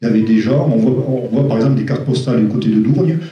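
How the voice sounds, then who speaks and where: Dark and mellow, a man's somewhat breathy voice moves at a fairly quick pace. His intonation is fairly even, and room echo is audible. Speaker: caving speaker giving a talk. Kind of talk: question and answer; lecture. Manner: fast; hesitant, many fillers.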